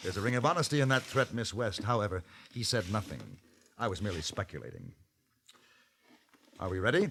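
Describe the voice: Using a put-on character voice, a man talks fairly quickly at a fairly low pitch, his tone fairly bright with a slightly husky edge, his intonation lively, and his speech broken by long, frequent pauses.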